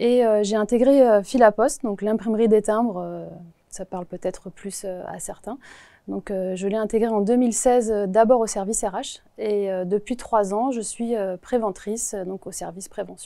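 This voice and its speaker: Her tone dark and mellow, a woman speaks at a moderate pace with fairly even intonation and big swings in loudness. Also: fairly high pitch for a woman. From Paris region, France. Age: 40s. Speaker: postal worker, Olympic torchbearer. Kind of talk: interview answers. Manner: hesitant, many filler sounds.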